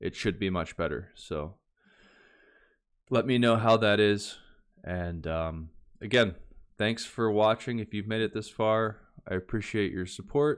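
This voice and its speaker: A man's fairly low voice with ordinary pitch variation, a fairly slow pace and long, frequent pauses, over a quiet background. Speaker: language learning youtuber. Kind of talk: casual tutorial outro. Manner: slow and clear; hesitant, many fillers.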